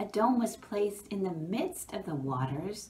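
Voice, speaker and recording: With a warm, gentle tone, a woman's voice moves through very wide pitch swings. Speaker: pastor. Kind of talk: children's Bible story narration, gentle storytelling. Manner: warm, gentle, measured; slow, reverent, with pauses between days. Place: office. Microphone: phone near.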